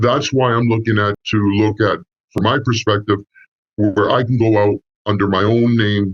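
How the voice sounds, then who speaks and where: Delivered at a fairly slow pace with long, frequent pauses, the speech has fairly even intonation and very even loudness, with a dry, close sound and no echo. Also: man. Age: 60s. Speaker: consultant, sales prospect. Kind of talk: sales call conversation. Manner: halting, many fillers.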